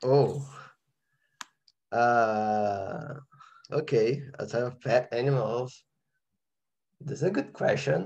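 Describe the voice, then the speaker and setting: Speaking very slowly with a Brazilian accent, this voice is somewhat breathy, has ordinary pitch variation, and leaves long, frequent pauses. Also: man, medium pitch for a man. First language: Portuguese. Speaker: composer. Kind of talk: interview. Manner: halting.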